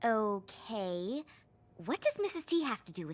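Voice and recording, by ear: A cartoonish character voice, female-sounding, at a fairly high pitch and moderate pace.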